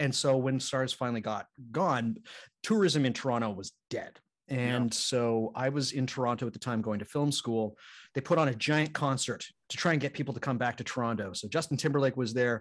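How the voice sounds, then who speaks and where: In a quiet background, a man with a normal speaking voice talks at a fairly quick pace, his medium pitch showing ordinary variation. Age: 30s. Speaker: podcast host guest. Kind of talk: casual chat.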